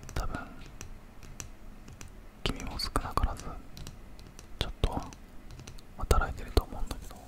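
Here a man is whispering. He is soft-spoken. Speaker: ASMR creator. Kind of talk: soft soothing ASMR talk. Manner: soft close-mic whisper. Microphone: studio mic.

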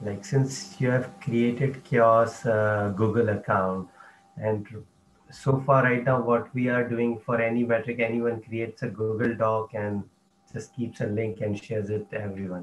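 With an unremarkable speaking voice, a man speaks at a medium pitch and a moderate pace. His intonation is fairly even, over light background noise. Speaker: working group member, open-source community. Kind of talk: work meeting discussion. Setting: video call. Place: home room. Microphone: headset.

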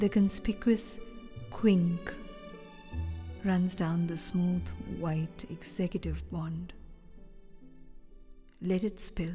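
Over music in the background, a woman talks at a very slow pace with long, frequent pauses. Her pitch is fairly low and varies in an ordinary way. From India. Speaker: actor and poet. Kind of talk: poetry reading.

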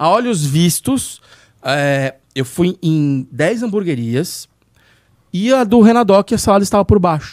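The background is quiet as a man speaks in a high voice at a fairly slow pace. His pitch swings very widely. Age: 40s. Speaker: podcast host, burger blogger; podcast guest or host. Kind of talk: casual chat. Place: studio. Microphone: studio mic.

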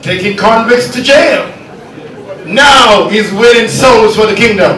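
A man with a high pitch projects a raised voice at a fairly slow pace. Audible room echo and light background noise are present. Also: ordinary pitch variation. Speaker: event emcee / master of ceremonies. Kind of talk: public event hosting speech. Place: hall.

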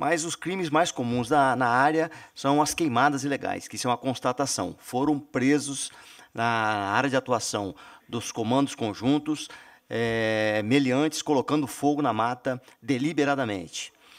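The background stays quiet. A man speaks at a fairly slow pace, his pitch varying in an ordinary way. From Brazil. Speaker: army general. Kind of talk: formal presentation; formal hearing testimony. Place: meeting room. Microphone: podium.

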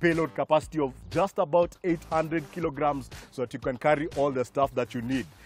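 A man at a fairly quick pace with ordinary pitch variation, in a dry sound with no echo and faint music in the background. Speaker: TV car show co-host. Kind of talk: car review presentation. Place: open country.

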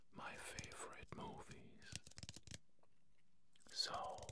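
A man is whispering. His pace is very slow. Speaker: ASMR creator. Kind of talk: ASMR whispered talk to camera. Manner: whispered. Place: studio. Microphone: studio mic.

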